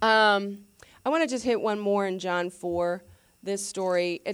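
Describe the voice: Someone reads aloud plainly. It is straightforward reading.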